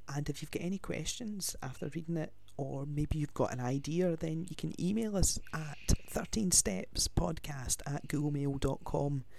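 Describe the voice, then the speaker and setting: Speaking at a fairly slow pace with hardly any pauses, a man with a Glaswegian accent has a fairly high pitch, ordinary pitch variation, and a dark, mellow tone. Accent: Glaswegian Scottish. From Scotland, Glasgow. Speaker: podcast host, student and actor. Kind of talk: casual chat.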